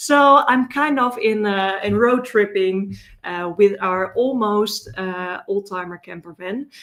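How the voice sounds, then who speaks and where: With a Dutch accent, a woman speaks at a very slow pace and a medium pitch. She has hardly any pauses, and her loudness swings widely. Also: ordinary pitch variation. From Netherlands. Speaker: data security consultant, conference speaker. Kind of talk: conference talk. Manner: many filler words and hesitations.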